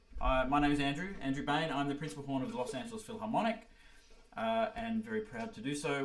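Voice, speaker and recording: A man with a fairly high voice speaks with an Australian accent over audible room echo. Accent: Australian, noticeable. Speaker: orchestral horn player and music teacher. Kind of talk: online workshop presentation. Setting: video call livestream. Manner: halting, many fillers.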